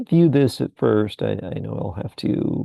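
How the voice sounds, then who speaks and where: The sound is dry and close, free of any echo. This man talks very slowly. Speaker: new YouTuber. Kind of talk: casual vlog to camera. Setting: dark room, filming alone. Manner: halting, many repetitions and fillers; consciously lowered pitch.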